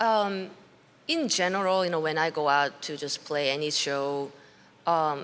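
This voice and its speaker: A woman's very deep, low voice with ordinary pitch variation and a fairly slow pace. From South Korea. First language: Korean. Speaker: blues musician. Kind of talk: interview. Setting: backstage at music festival. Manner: halting.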